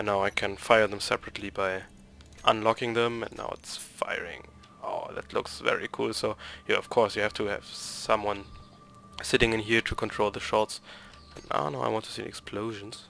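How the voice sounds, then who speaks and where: Speaking at a moderate pace, a man has a German accent. His loudness swings a lot. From Germany. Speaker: gaming YouTuber. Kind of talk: gameplay tutorial. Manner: halting.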